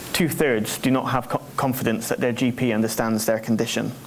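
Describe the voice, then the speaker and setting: The speech comes at a fairly quick pace, with noticeable background noise and audible room echo. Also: man. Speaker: charity representative presenting survey. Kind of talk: conference presentation. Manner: fast.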